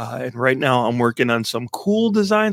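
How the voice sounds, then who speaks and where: On a very clean recording with a silent background, a man with a normal speaking voice talks at a moderate pace, his medium pitch carrying lively intonation. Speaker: podcast host. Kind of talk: casual chat. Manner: casual, chatty.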